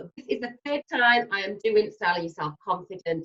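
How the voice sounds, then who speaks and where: A woman with an English accent is heard in a dry, close sound with no echo. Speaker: personal stylist. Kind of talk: webinar sales pitch. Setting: online webinar. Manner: fast; animated.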